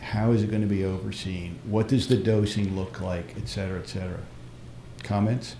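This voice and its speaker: Here a man speaks at a fairly quick pace with a fairly low pitch and ordinary pitch variation. His dark, mellow, somewhat breathy voice carries audible room echo. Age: 60s. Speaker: practitioner asking questions. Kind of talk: live stream Q&A.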